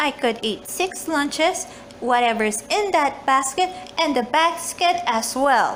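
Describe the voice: At a slow pace, a woman does a put-on character voice that is high-pitched and fairly bright in tone, with lively intonation over faint background noise.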